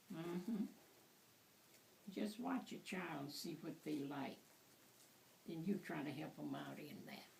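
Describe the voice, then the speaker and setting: A woman with a fairly low pitch and vocal fry speaks at a fairly slow pace. Her intonation is lively, broken by long, frequent pauses. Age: 80s+. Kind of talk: casual conversation.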